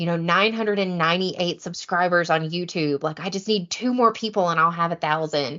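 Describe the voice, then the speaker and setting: With an American accent, a woman talks in an animated tone at a fairly low pitch. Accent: Southern, strong when excited. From US South, deep east Texas. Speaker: competitive kayak bass angler. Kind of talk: casual chat. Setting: podcast interview.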